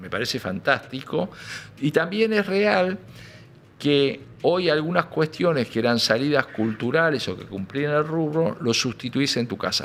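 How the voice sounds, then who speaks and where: With an Argentine accent, a man speaks fairly slowly at a fairly high pitch, his voice swinging very widely up and down. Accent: Argentine Spanish (Rioplatense). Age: 70s. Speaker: music industry businessman. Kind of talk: interview. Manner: hesitant, many fillers.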